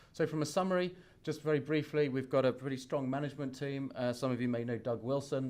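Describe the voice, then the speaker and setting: At a fairly quick pace, a man speaks with a British accent on a very clean recording with a silent background. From England. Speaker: company finance executive. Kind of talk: investor presentation. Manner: halting, many fillers.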